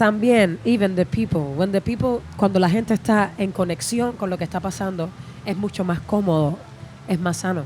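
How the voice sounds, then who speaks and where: The speaker talks at a fairly quick pace with ordinary pitch variation while music plays in the background. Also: woman, medium pitch for a woman. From Cuba. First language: Spanish. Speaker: musician. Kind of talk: interview. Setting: festival interview area. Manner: halting.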